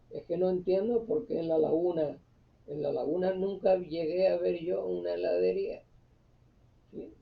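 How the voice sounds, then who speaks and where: A man talks at a very slow pace. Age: 70s. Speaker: YouTube channel host, local storyteller. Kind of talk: casual monologue, reminiscing. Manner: halting, many fillers.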